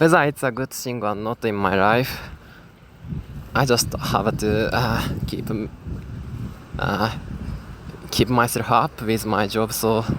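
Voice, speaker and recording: Very slowly and with long, frequent pauses, a man with a Japanese accent speaks at medium pitch with ordinary pitch variation. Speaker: gaming YouTuber. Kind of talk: casual vlog monologue. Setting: outdoors. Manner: halting, many fillers.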